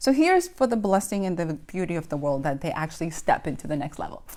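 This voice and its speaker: The voice has a Spanish accent and an animated tone with very wide pitch swings. The recording is very clean, with a silent background. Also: woman. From Dominican Republic. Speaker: indie author and motivational speaker. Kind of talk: casual motivational talk.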